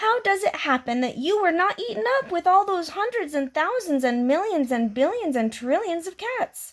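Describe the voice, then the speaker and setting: A put-on character voice with very wide pitch swings, a moderate pace and hardly any pauses. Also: woman, extremely high pitch for a woman. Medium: read story.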